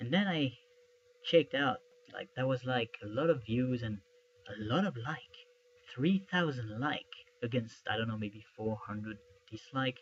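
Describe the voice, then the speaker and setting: A man speaking in a French accent, medium in pitch, with long, frequent pauses. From France. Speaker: YouTuber, film theory commentator. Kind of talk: casual video commentary. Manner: slow; halting. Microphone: poor camera recording.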